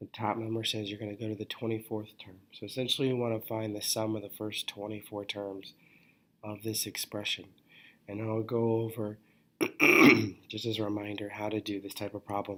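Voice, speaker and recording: Quiet and at a fairly quick pace, a man speaks in a fairly low pitch with monotone, flat intonation. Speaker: math teacher. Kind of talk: lecture. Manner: halting.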